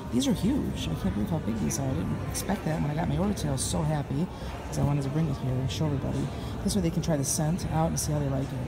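Over clear background music, a woman speaks at a very fast pace with very wide pitch swings and very even loudness. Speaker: direct sales representative. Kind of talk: casual talk to camera. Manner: whispered. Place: hall. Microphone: phone near.

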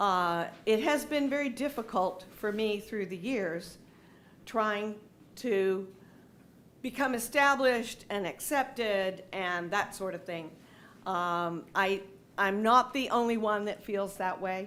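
This woman speaks at a fairly slow pace with a medium pitch. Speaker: resident making public comment. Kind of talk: public comment. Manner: loud.

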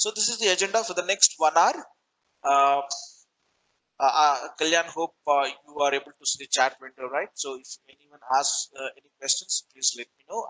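A man speaks at a moderate pace in a fairly high voice with a bright, sharp tone, his loudness swinging widely. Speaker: corporate trainer. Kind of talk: webinar lecture. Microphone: video call.

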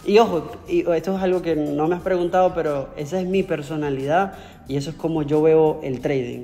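With faint music in the background, a man talks at a moderate pace with ordinary pitch variation. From Venezuela. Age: 30s. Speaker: trader; interviewee. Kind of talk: interview. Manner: halting, with many repetitions. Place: home room. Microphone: earbuds.

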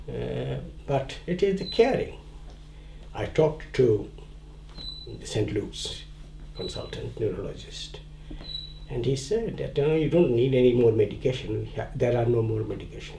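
The speech moves at a moderate pace with long, frequent pauses, set against noticeable background noise. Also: man. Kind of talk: documentary interview answer.

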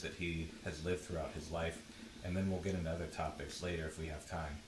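Noticeable background noise fills the space as a man speaks at a fairly quick pace. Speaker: librarian and archivist, interviewer. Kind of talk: oral history interviewer.

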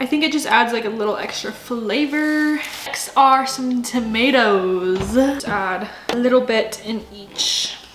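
A woman speaks at a fairly slow pace with few pauses, her pitch fairly high and her tone fairly bright, over faint background noise. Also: ordinary pitch variation.

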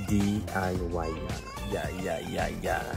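Over clear background music, a man speaks at a fairly slow pace in a dry sound with no echo. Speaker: DIY vlogger. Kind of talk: casual vlog chat. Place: garden. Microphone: phone near.

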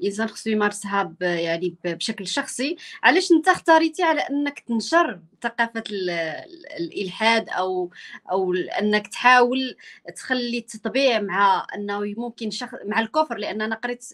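This woman has a normal speaking voice at a fairly high pitch. Her intonation is lively. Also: quiet background. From Morocco. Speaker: journalist interviewer. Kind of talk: interview.

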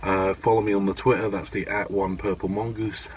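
Light background noise runs under this recording. The man's voice sits at a fairly low pitch. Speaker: vape vlogger. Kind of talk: casual vlog chat. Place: car. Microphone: phone near.

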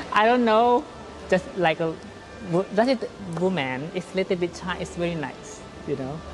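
A woman's fairly low voice with a Thai accent, moderate pace and long, frequent pauses, music in the background. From southern Thailand. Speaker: interview guest. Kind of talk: interview answer. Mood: relaxed, smiling, animated. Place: hall.

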